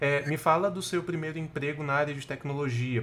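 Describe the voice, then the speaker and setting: A man with ordinary pitch variation. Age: 20s. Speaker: podcast co-host, project manager. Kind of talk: casual chat.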